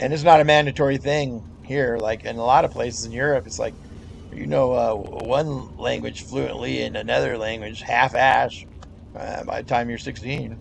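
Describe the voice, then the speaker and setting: A man with an American accent at a moderate pace, over noticeable background noise. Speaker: gamer. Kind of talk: casual chat.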